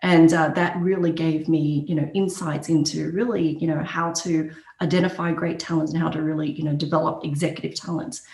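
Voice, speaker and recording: Audible room echo surrounds a woman with an Australian accent talking at a fairly quick pace. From Australia, Brisbane. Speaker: HR executive. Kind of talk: podcast interview. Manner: many fillers and hesitations.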